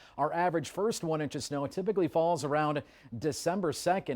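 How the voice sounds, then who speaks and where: An American-accented man talks at a fairly quick pace in an ordinary speaking voice with ordinary pitch variation. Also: very clean recording, silent background. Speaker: television meteorologist. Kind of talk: TV weather forecast.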